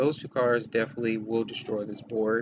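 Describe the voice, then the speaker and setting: Quietly and at a fairly quick pace, a man speaks over noticeable background noise. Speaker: gaming streamer. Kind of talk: live stream gameplay commentary.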